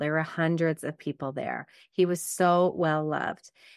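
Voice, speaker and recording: A woman with a Montreal accent and a fairly low pitch, at a fairly slow pace, in a dry, close recording with no echo. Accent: Anglophone Montreal Canadian English. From Quebec, Canada (West Island, Montreal). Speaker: podcast host and life coach. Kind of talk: solo podcast monologue.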